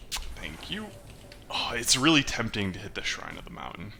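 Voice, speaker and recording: Audible room echo surrounds the recording. A man speaks with lively intonation. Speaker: gaming YouTuber. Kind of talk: live gameplay commentary. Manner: mumbles to himself at times; casual, conversational.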